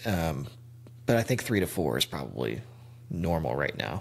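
This man's very deep, low voice carries vocal fry. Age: 30s. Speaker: podcast host. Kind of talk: casual chat.

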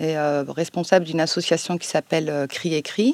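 In a very clean recording with a silent background, a woman speaks with fairly even intonation. Her pace is moderate. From France, Savoie (Chambéry). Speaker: librarian and co-author. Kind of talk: public interview. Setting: library, recorded with a live audience. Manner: hesitant, many fillers.

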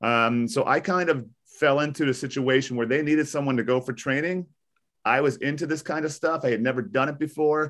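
A man's normal speaking voice, fairly high in pitch, at a fairly quick pace with ordinary pitch variation against a quiet background. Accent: American. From US Northeast (New Jersey). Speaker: high school teacher. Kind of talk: interview. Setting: video call.

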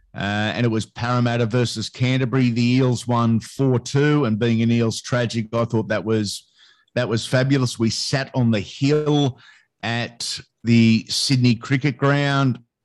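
With an Australian accent, a man speaks at a medium pitch and a fairly slow pace. His intonation stays fairly even against a quiet background. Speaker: sports commentator. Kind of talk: casual interview chat.

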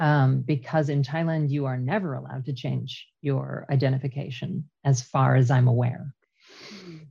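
With a Canadian accent, a woman speaks at a very deep, low pitch and a moderate pace, her tone dark and mellow. She sounds somewhat breathy, and her loudness swings widely. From Canada. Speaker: traveler and podcast team member. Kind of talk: casual chat.

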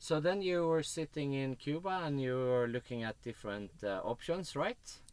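Speaking with a Swedish accent, a man with a fairly high-pitched voice talks at a moderate pace with lively intonation. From Sweden. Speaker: podcast host. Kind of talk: casual interview.

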